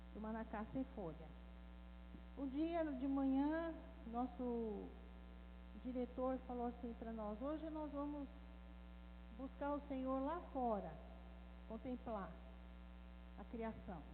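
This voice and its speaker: Someone talks at a very slow pace with long, frequent pauses, and audible room echo surrounds the speech. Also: woman. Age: 60s. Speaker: women's ministry speaker, former missionary. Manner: animated.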